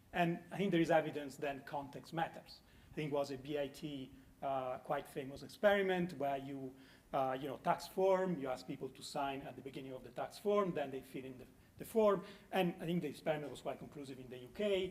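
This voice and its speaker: This man speaks with an Italian accent at a fairly quick pace, his pitch fairly high with ordinary variation. His loudness swings widely. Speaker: conference panelist. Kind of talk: panel discussion. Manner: halting.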